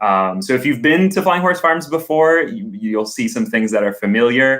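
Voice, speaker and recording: A man with a fairly high pitch talks at a moderate pace, his pitch swinging very widely while his loudness stays very even. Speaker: camp operations coordinator. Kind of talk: interview.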